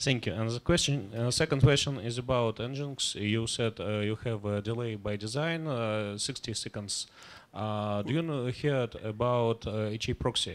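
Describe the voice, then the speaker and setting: In a Russian accent, a man speaks at a medium pitch and a moderate pace with ordinary pitch variation and hardly any pauses. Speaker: audience member. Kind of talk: audience question. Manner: halting.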